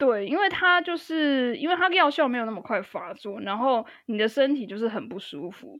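A woman with a Taiwanese accent speaks at a moderate pace in a high voice, with hardly any pauses. Her pitch swings very widely and her loudness shifts a lot. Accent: Taiwanese Mandarin. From Taiwan (Tainan). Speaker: podcast guest, musician. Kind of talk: casual chat.

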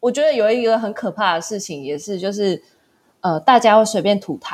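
With a plain, everyday voice, a woman speaks at a medium pitch and a moderate pace with ordinary pitch variation, in a very clean recording with a silent background. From Taiwan. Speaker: small business founder and backpacker. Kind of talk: casual interview chat.

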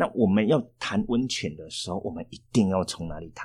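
A man talks at a moderate pace in a very clean recording with total background silence. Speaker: tour planning teacher, former tour guide. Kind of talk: casual interview chat.

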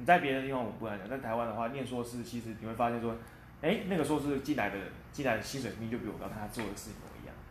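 A man's medium-pitched voice at a very fast pace, with audible room echo and noticeable background noise. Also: ordinary pitch variation. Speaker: quality assurance engineer. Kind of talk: interview. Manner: hesitant with fillers.

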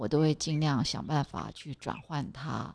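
A woman with a very deep, low pitch and vocal fry talks at a fairly slow pace in front of a quiet background. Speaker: podcast host. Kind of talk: casual monologue. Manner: halting, many fillers.

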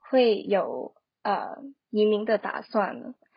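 A woman speaks at a very slow pace. Her voice is fairly high in pitch and somewhat breathy. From Hong Kong. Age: 20s. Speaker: social media marketer. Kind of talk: casual interview.

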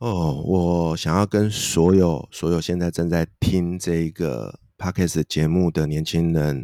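This man's voice is very deep and low. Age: 40s. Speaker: author and career coach. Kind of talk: interview. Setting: online remote recording.

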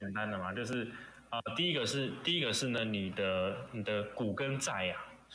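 Talking at a fairly quick pace with a Taiwanese accent, a man has a fairly low pitch and a bright, sharp tone. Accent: Taiwanese Mandarin. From Taiwan, Pingzhen in Taoyuan. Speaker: guest. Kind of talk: casual chat.

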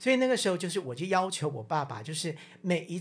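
The speaker talks at a fairly quick pace. The background is quiet. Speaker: podcast co-host. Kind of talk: casual chat.

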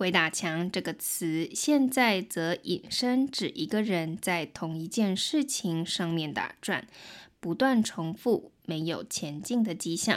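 On a very clean recording with a silent background, a woman with a Taiwanese accent speaks very slowly at a medium pitch with lively intonation. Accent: Taiwanese Mandarin. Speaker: podcast host and Mandarin tutor. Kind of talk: language-learning podcast narration. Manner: clear, slow-paced.

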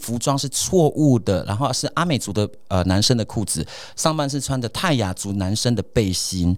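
A man talks at a moderate pace in a medium pitch, with lively intonation. He has an ordinary speaking voice. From Taiwan, Atayal community in Hsinchu mountains. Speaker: radio host. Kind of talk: casual chat.

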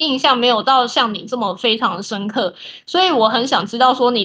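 High female voice with a bright, sharp tone, ordinary pitch variation and a moderate pace, over a quiet background. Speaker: podcast co-host. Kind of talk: casual chat.

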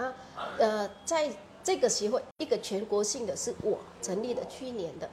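A woman's high-pitched voice with a Vietnamese accent, lively intonation, a moderate pace, long and frequent pauses, and noticeable background noise. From Vietnam, Phu Tho province near Hanoi. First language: Vietnamese (speaking Chinese). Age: 40s. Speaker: shop founder and association chair. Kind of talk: interview.

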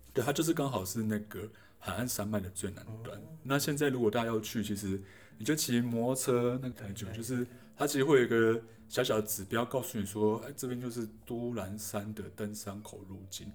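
A medium-pitched male voice at a fairly quick pace with big swings in loudness. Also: ordinary pitch variation. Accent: Taiwanese. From Taiwan, Taichung. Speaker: radio DJ and artist. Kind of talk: casual interview conversation.

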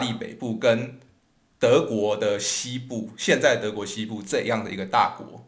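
A man's medium-pitched voice, fairly slow and with ordinary pitch variation, in a room with audible echo. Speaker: podcast host, history and music storyteller. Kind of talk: educational podcast talk.

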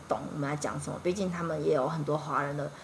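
A woman speaks over noticeable background noise. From Taiwan, Yilan. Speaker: former retail sales worker abroad. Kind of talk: casual interview chat.

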